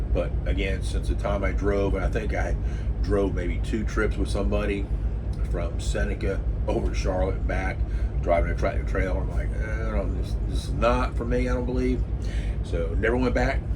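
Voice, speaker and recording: A man with a very deep, low pitch talks at a moderate pace in a monotone, flat intonation, his loudness very even. Noticeable background noise and audible room echo surround him. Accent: American. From New Jersey. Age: 60s. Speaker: retired bus driver and travel vlogger. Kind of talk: casual vlog monologue. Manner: halting, many fillers.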